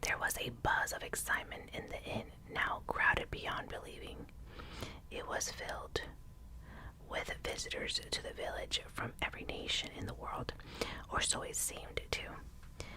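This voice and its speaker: A whispering woman at a moderate pace, with long, frequent pauses and noticeable background noise. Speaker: ASMR reader. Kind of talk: ASMR audiobook reading. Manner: whispered, soft.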